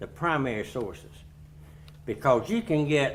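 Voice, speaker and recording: This man's pitch is fairly high, with vocal fry. He speaks at a fairly slow pace. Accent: eastern North Carolina. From Greene County, North Carolina. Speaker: retired school principal. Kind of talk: historical society talk. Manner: conversational.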